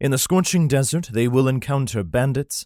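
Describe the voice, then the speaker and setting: An ordinary speaking voice from a man, medium in pitch, with lively intonation and a dry, close sound with no echo. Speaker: audiobook narrator. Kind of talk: audiobook blurb, historical fiction.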